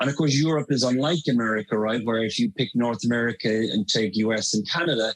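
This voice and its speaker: Speaking very fast with hardly any pauses, a man with an Irish accent holds a medium pitch, ordinary pitch variation and very even loudness. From Ireland. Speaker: marketing consultant. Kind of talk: podcast interview.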